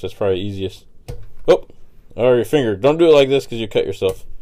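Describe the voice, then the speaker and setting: Talking at a very fast pace, a man uses a dark, mellow tone with ordinary pitch variation. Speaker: DIY repair youtuber. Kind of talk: tutorial. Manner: casual, hesitant with fillers.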